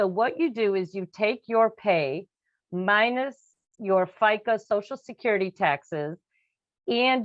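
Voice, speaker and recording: Her intonation is lively. The woman's pitch is medium. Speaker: financial advisor. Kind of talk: webinar presentation. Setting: video webinar. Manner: fast.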